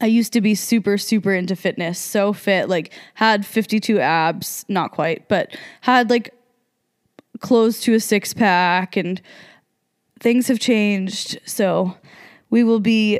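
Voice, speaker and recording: On a very clean recording with a silent background, a woman with an American accent speaks at medium pitch and a very slow pace, with long, frequent pauses, very even loudness and fairly even intonation. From New Jersey. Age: 20s. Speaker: podcast co-host. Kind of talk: casual monologue.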